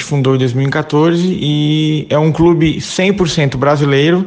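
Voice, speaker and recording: A man's fairly high voice at a very slow pace, with fairly even intonation over noticeable background noise. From Brazil, Santa Catarina (Criciúma). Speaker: amateur football club president and former player. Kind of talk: interview.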